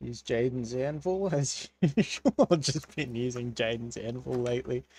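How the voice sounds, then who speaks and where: In an Australian accent, a man speaks at a fairly slow pace. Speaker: gaming streamer. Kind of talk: live gameplay stream chat. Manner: casual, animated.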